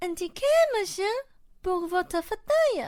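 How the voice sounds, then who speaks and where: A squeaky put-on character voice, fairly slow in pace, with lively intonation. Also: woman, extremely high pitch for a woman. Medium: audio drama. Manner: bossy, theatrical.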